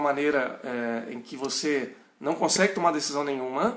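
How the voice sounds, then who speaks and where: The speaker talks at a moderate pace in an interior São Paulo accent. Audible room echo surrounds the voice. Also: man. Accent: caipira, moderate. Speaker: pastor. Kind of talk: bible study lecture. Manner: halting.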